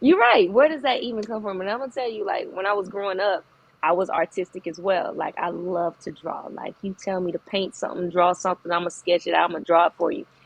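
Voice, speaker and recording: Very fast talk from a woman with hardly any pauses, a medium pitch, and ordinary pitch variation. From Arkansas (Little Rock). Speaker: architect and entrepreneur. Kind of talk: podcast interview. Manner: casual, hesitant with fillers.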